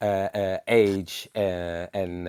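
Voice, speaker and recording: Very deep and low, a man's voice comes through with a non-native accent and flat, monotone intonation, the sound dry and close with no echo on a very clean recording over a silent background. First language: not English. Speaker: panelist. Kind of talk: heated debate. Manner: halting.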